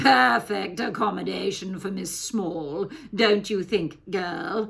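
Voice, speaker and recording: A woman adopts a put-on character voice, talking fairly slowly at a medium pitch. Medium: read story. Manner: chuckling, silkily cruel.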